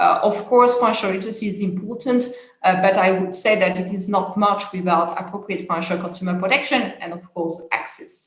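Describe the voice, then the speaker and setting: A woman with a French accent speaks at a medium pitch with fairly even intonation, big swings in loudness and hardly any pauses. Audible room echo and noticeable background noise fill the recording. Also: fairly quick pace. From France. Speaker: international policy expert. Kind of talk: conference talk. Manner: hesitant, many fillers.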